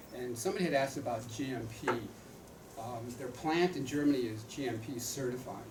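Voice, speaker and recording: Speech at a fairly quick pace with ordinary pitch variation comes through noticeable background noise and audible room echo. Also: man, medium pitch for a man. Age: 70s. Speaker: retired doctor and author endorsing supplements. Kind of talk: product training talk. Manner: halting, repeats words.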